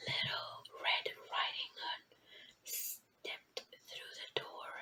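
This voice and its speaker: Noticeable background noise accompanies a very slow whisper. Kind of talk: ASMR read story. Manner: whispered.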